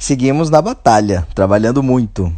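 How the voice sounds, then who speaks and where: A man with a plain, everyday voice, lively intonation and a moderate pace. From Brazil, Bahia (Alagoinhas). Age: 30s. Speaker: playwright and theatre director. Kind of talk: interview.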